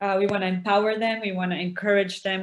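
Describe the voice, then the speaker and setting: Fairly even in intonation and fairly quick in pace, a plain, everyday voice speaks. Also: woman. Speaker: outreach worker with exploited women. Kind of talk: webinar interview. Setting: video call.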